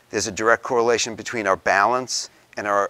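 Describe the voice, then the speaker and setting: Talking at a very fast pace, a man with a fairly low pitch has a bright, sharp tone and fairly even intonation. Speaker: presenter. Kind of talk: lecture. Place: meeting room.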